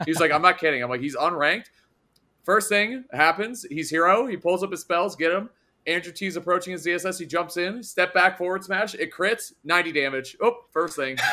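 On a very clean recording with a silent background, a high-pitched man talks at a fairly quick pace with ordinary pitch variation. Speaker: podcast host. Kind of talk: casual podcast chat.

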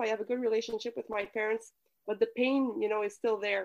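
Against a quiet background, a woman with a Quebec accent speaks in a fairly high pitch with fairly even intonation. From Quebec City, Canada. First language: French. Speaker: communication coach. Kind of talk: casual interview.

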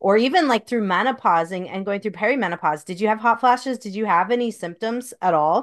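A normal speaking voice from a woman, fairly high in pitch, over a quiet background. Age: 40s. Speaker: podcast host, doctor. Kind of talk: casual interview conversation.

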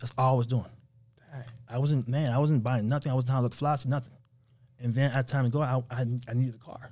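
With a New York accent, a man talks at a very fast pace and medium pitch in monotone, flat intonation. His tone is dark and mellow and somewhat breathy. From New York, Haitian family. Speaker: rental car entrepreneur. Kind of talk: interview. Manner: casual.

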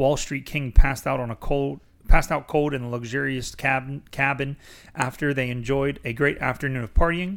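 The clip is a reading aloud in a natural voice.

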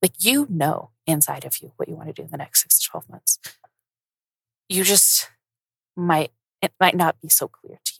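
Speaking at a moderate pace with long, frequent pauses, a woman swings widely in loudness, her sound dry and close with no echo. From US, Colorado. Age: 20s. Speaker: podcast host, accountant. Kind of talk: casual solo monologue. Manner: chatty, filler-heavy.

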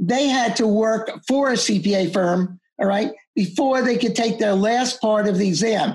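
A woman with an American accent speaks at a fairly slow pace, somewhat breathy, with ordinary pitch variation. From US Northeast (Long Island, New York). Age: 70s. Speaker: accountant and exam-prep teacher. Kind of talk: interview. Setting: video call.

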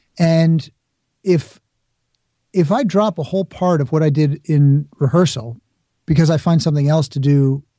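A man with an American accent speaks with a dark, mellow, somewhat breathy tone. His pitch is fairly high, with ordinary variation. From New York, the Bronx. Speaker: speaker and author, former actor. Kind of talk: interview.

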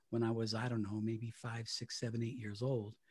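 A man's somewhat breathy voice at medium pitch, dark and mellow in tone, against a quiet background. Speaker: retired radio broadcaster. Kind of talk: interview.

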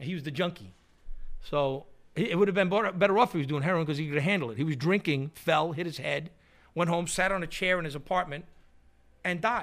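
On a very clean recording with a silent background, a man with a New York accent and a high pitch speaks very fast with ordinary pitch variation, broken by long, frequent pauses. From New York City, Queens (Astoria). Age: 50s. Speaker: punk musician. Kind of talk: casual chat. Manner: animated.

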